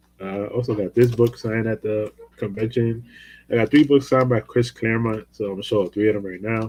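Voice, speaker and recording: The voice comes through with fairly even intonation in a dry, close sound with no echo. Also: man. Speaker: comic book collector youtuber. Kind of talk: casual show-and-tell haul video. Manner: loud.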